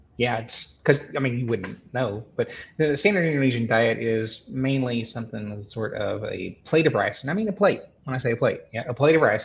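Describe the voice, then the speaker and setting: Somewhat breathy and lively in intonation, a man speaks at medium pitch with a Southern US accent. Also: moderate pace. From US South, Arkansas (Benton). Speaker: podcast guest, carnivore diet follower. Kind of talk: casual interview chat. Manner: halting, many repetitions and fillers.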